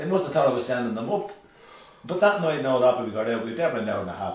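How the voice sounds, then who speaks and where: Speaking very fast in a Dublin accent, a man swings his pitch very widely. Room echo is audible and background noise is noticeable. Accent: Dublin Irish. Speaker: rock musician and show host. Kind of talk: casual chat, reminiscing.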